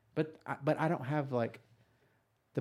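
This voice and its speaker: A man with a Texas accent speaks at a moderate pace in a dark, mellow tone, with ordinary pitch variation. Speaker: police officer podcast host. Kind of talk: casual chat.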